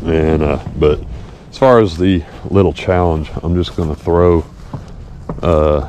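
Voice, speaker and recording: A man's very deep, low voice with an American accent, ordinary pitch variation, big swings in loudness, long, frequent pauses and noticeable background noise. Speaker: fishing vlogger. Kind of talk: casual outdoor vlog narration. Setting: outdoors at a pond. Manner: casual, animated.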